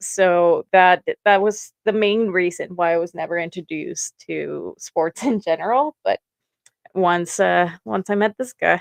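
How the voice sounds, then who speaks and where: Someone speaks at a fairly slow pace with a Mexican accent. The pitch varies in an ordinary way, and the sound is dry and close with no echo. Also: woman, medium pitch for a woman. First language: Spanish. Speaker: sports fan podcast co-host. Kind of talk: casual chat.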